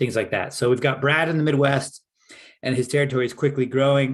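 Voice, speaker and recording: Against a quiet background, a man is speaking. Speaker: product sales presenter. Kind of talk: webinar presentation. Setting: home office, online webinar. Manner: fast.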